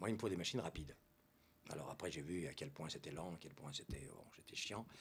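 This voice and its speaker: A man's voice, somewhat breathy, moves through very wide pitch swings. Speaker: artist and writer. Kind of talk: interview. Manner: animated.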